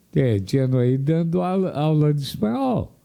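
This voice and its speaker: The tone is dark and mellow. The speech moves at a fairly slow pace. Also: man. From Paraná, Brazil (União da Vitória). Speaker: radio commentator. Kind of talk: opinion commentary. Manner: conversational with hesitations.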